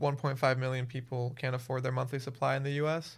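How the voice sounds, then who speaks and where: In a very clean recording with a silent background, a man talks fairly quickly in a somewhat breathy, monotone, flat delivery. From Miami, Florida. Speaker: nonprofit founder. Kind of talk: casual interview.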